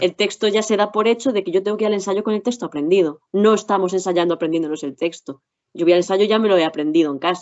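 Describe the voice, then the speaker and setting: Her pitch medium and its variation ordinary, a woman talks at a very fast pace. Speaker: actress. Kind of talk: interview. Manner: careful articulation.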